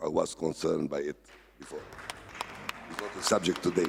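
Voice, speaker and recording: A man speaks over noticeable background noise. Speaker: investor, former rally driver. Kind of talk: panel discussion. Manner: halting.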